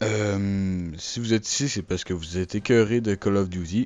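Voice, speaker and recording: His pitch is fairly low for a man, with ordinary variation. He speaks at a fairly slow pace. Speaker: gaming YouTuber. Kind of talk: channel announcement monologue. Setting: recording alone over a still image. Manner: hesitant, many fillers.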